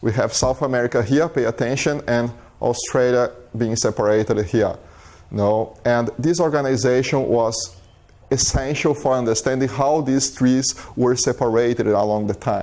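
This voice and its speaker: A man with a strong Brazilian accent, moderate pace, fairly even intonation and very even loudness. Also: medium pitch for a man. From southern Brazil. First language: Portuguese. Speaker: biologist, visiting scholar. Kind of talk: lecture. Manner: halting, many fillers and repetitions.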